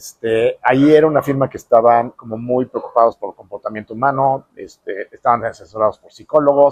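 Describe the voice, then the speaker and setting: A man with a Mexican accent at a fairly quick pace, hardly any pauses, big swings in loudness, and a dry, close sound with no echo. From Mexico. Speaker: architect. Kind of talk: interview storytelling. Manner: hesitant fillers.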